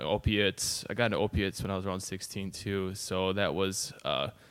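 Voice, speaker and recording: On a very clean recording with a silent background, a man of fairly low pitch speaks at a moderate pace. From northern Wisconsin (Phelps). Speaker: recovering addict, former burglar. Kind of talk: podcast interview, personal story. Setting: podcast studio with microphone. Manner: hesitant, many fillers.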